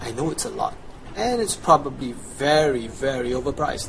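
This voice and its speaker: Speaking at a moderate pace in a Chinese accent, a man with a fairly high pitch is heard over noticeable background noise. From Chinese background. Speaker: gaming guide creator. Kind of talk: tutorial. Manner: casual, enthusiastic.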